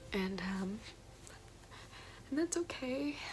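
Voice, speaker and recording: A woman speaks at a fairly slow pace with lively intonation against noticeable background noise. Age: young. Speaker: college student. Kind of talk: personal story told to camera.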